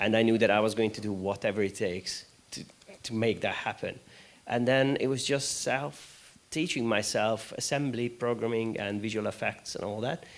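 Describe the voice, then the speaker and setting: Speaking at a moderate pace with a Hungarian accent, a man uses a medium pitch and ordinary pitch variation. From Hungary. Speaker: games studio founder. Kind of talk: panel discussion.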